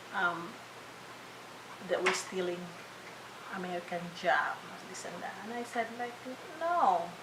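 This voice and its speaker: A woman at a medium pitch with ordinary pitch variation speaks at a fairly slow pace with long, frequent pauses and big swings in loudness, amid noticeable background noise and audible room echo. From Philippines. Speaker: registered nurse. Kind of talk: interview. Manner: halting, many fillers and restarts.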